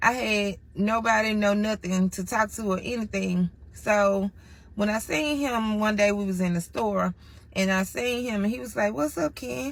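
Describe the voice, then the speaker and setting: A woman speaks in an animated, somewhat breathy tone with ordinary pitch variation, in a very clean recording with a silent background. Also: medium pitch for a woman, moderate pace. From Mississippi, US South. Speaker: storyteller. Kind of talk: casual storytime monologue. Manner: animated, conversational.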